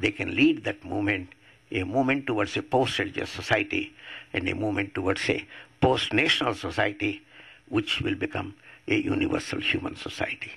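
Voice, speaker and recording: A man with an Indian accent at a fairly quick pace. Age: 80s+. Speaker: atheist activist. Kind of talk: public talk.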